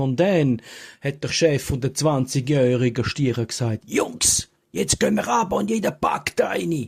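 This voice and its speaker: Somewhat breathy and fairly slow, the voice comes with a Graubünden accent. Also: man. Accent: Swiss German, Graubünden dialect. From Falera, Graubünden, Switzerland. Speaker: joke teller. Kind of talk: humorous joke telling to camera. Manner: humorous, casual.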